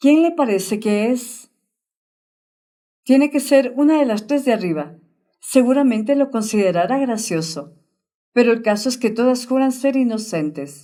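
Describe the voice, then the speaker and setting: A woman with a high pitch and a dark, mellow tone speaks at a fairly slow pace. Her intonation is lively, and she leaves long, frequent pauses. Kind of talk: audiobook narration.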